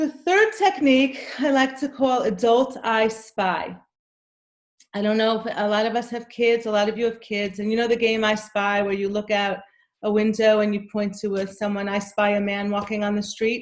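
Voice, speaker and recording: A woman with an unremarkable speaking voice, fairly high pitch, fairly even intonation and a moderate pace. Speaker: anxiety coach. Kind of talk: workshop talk.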